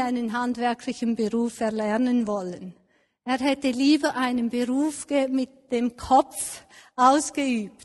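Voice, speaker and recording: Over a quiet background, a woman speaks at a very slow pace in a high, warm voice with fairly even intonation. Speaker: preacher. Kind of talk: sermon with a personal, elderly-life story told tenderly. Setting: church. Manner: warm, reflective, measured.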